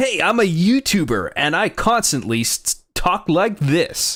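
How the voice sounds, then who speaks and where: Doing a put-on character voice, a man speaks high and fairly slowly with very wide pitch swings on a very clean recording with a silent background. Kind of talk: exaggerated YouTuber delivery. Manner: hyper, upbeat.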